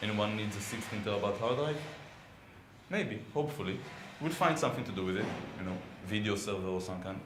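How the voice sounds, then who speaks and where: With an Israeli accent, a man talks at a very fast pace and a fairly low pitch, his intonation lively, broken by long, frequent pauses, amid audible room echo and noticeable background noise. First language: Hebrew. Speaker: software consultant and conference speaker. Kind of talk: technical conference talk. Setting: conference room with audience. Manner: hesitant, many fillers.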